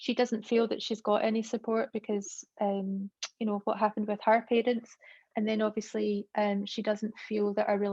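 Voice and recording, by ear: With little sound behind it, a natural voice reads the words aloud.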